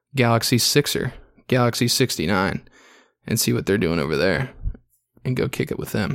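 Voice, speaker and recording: A man talks at a moderate pace with lively intonation and vocal fry. The recording is very clean, with a silent background. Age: 20s. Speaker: podcast host. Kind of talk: solo casual monologue with beer review. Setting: hotel room.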